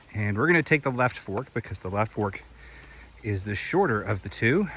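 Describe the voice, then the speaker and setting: Speaking with an American accent, a man at medium pitch keeps a moderate pace and lively intonation. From US South, Greenville County, South Carolina. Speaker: hiking vlogger. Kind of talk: outdoor walking vlog narration. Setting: outdoors on a hiking trail. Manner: casual, conversational.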